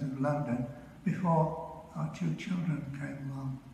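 The intonation is fairly even. Light background noise and audible room echo are present. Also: man. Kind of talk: funeral tribute speech. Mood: calm, tender, reflective. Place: church. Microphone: video call.

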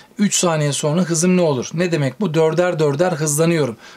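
A man with a high pitch holds a moderate pace and ordinary pitch variation as noticeable background noise continues. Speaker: physics teacher. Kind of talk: tutorial.

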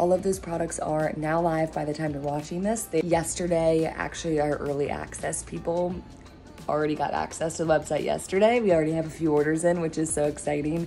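A woman with a very deep, low pitch and fairly even intonation at a fairly quick pace, with faint music in the background. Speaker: vlogger announcing a business. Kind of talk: casual vlog chat. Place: home room. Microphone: phone near.

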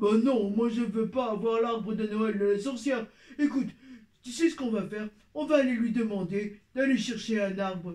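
A man in a cartoonish character voice, high in pitch. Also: moderate pace. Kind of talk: children's puppet show. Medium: puppet.

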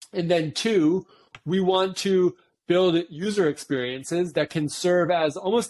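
A man is speaking. His voice sits high in pitch. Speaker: crypto engineering leader. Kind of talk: casual interview conversation. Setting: online live stream with chat. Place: home room. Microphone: video call.

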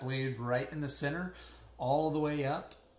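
With audible room echo around him, a man speaks in a somewhat breathy voice with fairly even intonation. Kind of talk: tutorial. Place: home room. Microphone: phone near.

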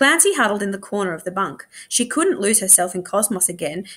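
An unforced reading voice is what this recording holds.

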